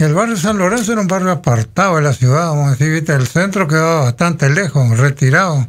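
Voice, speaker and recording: Very fast speech comes from a man with a fairly high pitch. His loudness stays very even. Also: lively intonation, hardly any pauses, quiet background. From Federación, Entre Ríos, Argentina; Entre Ríos, Argentina. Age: 60s. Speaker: local resident sharing life memories; radio interview guest. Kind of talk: radio interview, reminiscing. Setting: radio studio. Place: studio. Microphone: studio mic.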